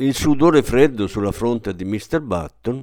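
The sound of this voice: An unforced reading voice carries the clip. Nothing about it sounds strained.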